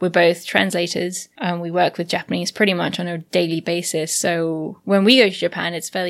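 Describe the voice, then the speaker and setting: In a very clean recording with a silent background, a woman with an English accent talks at a fairly quick pace, her fairly low pitch moving in fairly even intonation. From England. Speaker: podcast host, Japanese translator. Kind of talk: casual chat.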